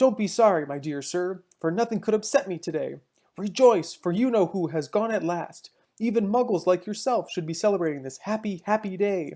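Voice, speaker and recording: A squeaky put-on character voice at a middle pitch moves at a fairly quick pace in a very clean recording with a silent background. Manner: joyful, gleeful.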